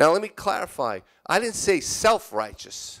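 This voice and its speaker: The backdrop stays quiet as a man talks. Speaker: church elder preaching. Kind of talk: sermon. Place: church. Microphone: handheld.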